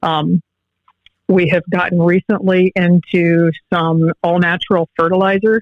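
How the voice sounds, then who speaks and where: Speaking with a Midwestern American accent, a woman holds a fairly low pitch, monotone, flat intonation and very even loudness. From Northwest Ohio, Allen County. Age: young. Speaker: agricultural business owner. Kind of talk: radio interview.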